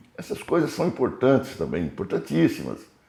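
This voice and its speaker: A man speaks in a dark, mellow tone with vocal fry and very wide pitch swings. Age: 80s+. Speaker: writer and historian. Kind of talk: autobiographical interview. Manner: hesitant, repeating words.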